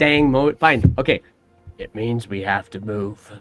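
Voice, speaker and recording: A man uses a gravelly put-on character voice at a medium pitch and a fairly slow pace. The sound is dry and close with no echo, and faint music plays in the background. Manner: exasperated, urgent.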